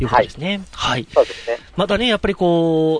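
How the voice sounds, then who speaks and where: The speaker is a man with a high pitch. There is noticeable background noise. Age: 30s. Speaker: radio host. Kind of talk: radio interview with phone guest.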